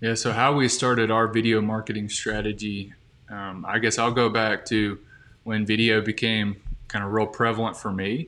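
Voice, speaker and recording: A man with an Alabama accent talks at a moderate pace in a bright, sharp tone, his pitch fairly low and his intonation monotone and flat. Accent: Southern US (Alabama). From US South, Birmingham, Alabama. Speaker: marketing specialist. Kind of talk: podcast interview.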